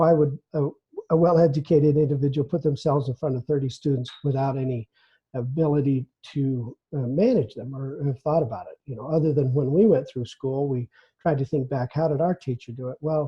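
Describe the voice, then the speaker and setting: A man's somewhat breathy, fairly high voice, fairly even in intonation, with big swings in loudness and a fairly quick pace. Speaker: webinar presenter, training director. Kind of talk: webinar presentation. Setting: online webinar. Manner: fast; halting, many fillers.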